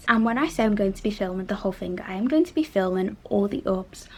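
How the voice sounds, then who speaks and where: A woman talks with a Liverpool accent. Her voice is somewhat breathy and medium in pitch. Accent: Liverpool (Scouse) English. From northern England, Liverpool. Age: 20s. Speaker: interior designer and vlogger. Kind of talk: casual vlog talk to camera. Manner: casual, chatty.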